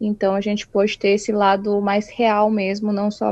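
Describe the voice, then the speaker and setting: A dark, mellow tone at a fairly slow pace. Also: woman. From Brazil, São Paulo state (Itu). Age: 20s. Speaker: illustrator. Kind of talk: casual interview.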